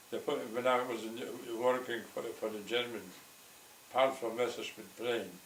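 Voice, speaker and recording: There is audible room echo around a man whose medium pitch holds fairly even intonation. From Poland. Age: 80s+. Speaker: Holocaust survivor. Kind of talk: oral history interview. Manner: halting, repeats words.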